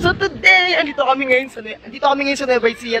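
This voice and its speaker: With music playing in the background, a man uses a raised, projected voice in a playful tone. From Philippines. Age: 20s. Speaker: YouTube vlogger. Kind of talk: casual talk to camera. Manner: playful, joking.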